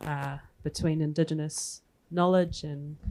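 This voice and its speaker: A woman speaks in a New Zealand accent with a very deep, low pitch. Her pace is fairly slow and her intonation fairly even. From New Zealand (Māori). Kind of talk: panel discussion. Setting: stage with audience.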